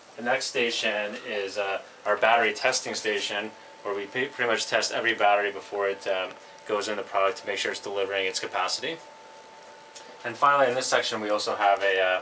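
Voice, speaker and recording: A man talks at a very fast pace with fairly even intonation and a fairly low pitch. Light background noise sits behind him. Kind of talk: tour explanation. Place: workshop. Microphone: camera far.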